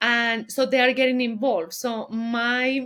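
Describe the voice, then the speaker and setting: With a Colombian accent, a woman speaks at a fairly slow pace, her fairly high pitch held in fairly even intonation. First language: Spanish. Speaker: business founder. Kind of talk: interview, casual chat.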